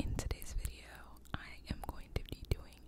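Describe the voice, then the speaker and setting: Whispered words from a woman. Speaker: ASMR creator. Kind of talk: ASMR whispering for sleep. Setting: home studio microphone. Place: home room. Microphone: studio mic.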